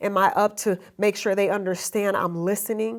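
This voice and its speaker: Her tone is animated. The woman speaks at a medium pitch. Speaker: business coach. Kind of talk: motivational talk. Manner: fast.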